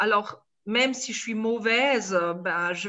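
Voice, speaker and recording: A woman with a Swiss accent. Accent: Swiss (speaker's own words). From India, Tibetan refugee community. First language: Tibetan (speaking French). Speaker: storyteller and author. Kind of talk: online talk Q&A. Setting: video call.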